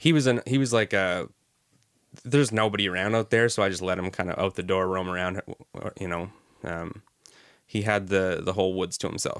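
A man's voice with ordinary pitch variation. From Canada. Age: 20s. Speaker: filmmaker. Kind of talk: casual chat. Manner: halting.

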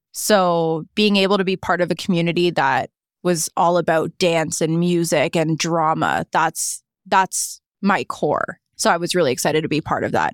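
A normal speaking voice: a woman with a Canadian accent talks at a moderate pace in a fairly low pitch. Her intonation is fairly even, her loudness very even, and the sound dry and close with no echo. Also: very clean recording, silent background. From Niagara Falls, Ontario, Canada. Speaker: content creator and media personality. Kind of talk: casual interview chat.

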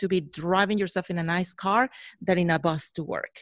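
A woman with a Spanish accent talks at a moderate pace and a medium pitch. The recording is very clean, with a silent background and a dry, close sound with no echo. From Mexico. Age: 40s. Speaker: photographer. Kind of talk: interview. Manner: halting.

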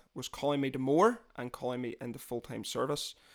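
This man speaks in a Northern Irish accent at medium pitch and a fairly quick pace. The recording is very clean, with a silent background. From Northern Ireland, near Londonderry. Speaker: podcast host. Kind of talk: casual chat.

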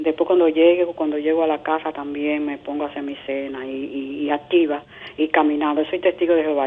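A woman's very deep, low voice in a monotone, flat delivery, over noticeable background noise. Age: 70s. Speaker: caller. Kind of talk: call-in question. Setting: phone call.

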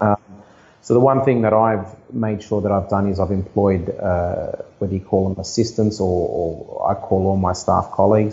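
With an Australian accent, a man speaks at a fairly low pitch and moderate pace, somewhat breathy and with fairly even intonation. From Sydney, Australia (Blacktown, western Sydney). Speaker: real estate agent. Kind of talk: interview. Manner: halting.

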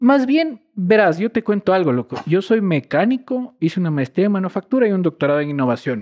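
A man with a Quito accent talks at a fairly quick pace with hardly any pauses, his high pitch swinging very widely. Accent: Quito Ecuadorian Spanish. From Ecuador, Quito. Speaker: scientist and environmental activist. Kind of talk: casual interview.

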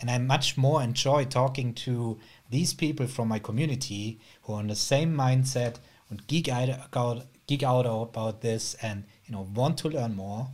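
Somewhat breathy, a man speaks at a medium pitch and a moderate pace with fairly even intonation. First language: not English. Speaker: podcast host. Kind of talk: casual interview.

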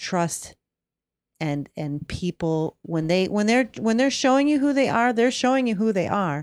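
A woman speaks at a fairly slow pace and a fairly high pitch, with very wide pitch swings. The sound is dry and close with no echo. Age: 50s. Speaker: podcast co-host. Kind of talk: casual chat.

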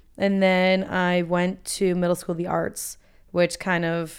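A woman at a moderate pace with an unremarkable speaking voice, on a very clean recording with a silent background. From Florida (Boca Raton). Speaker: business school student and blogger. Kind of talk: interview conversation.

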